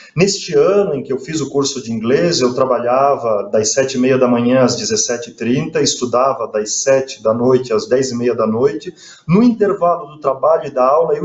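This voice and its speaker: Noticeable background noise sits beneath a man whose fairly high voice keeps a moderate pace. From Brazil, Joinville, Santa Catarina. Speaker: friar and professor. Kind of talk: interview.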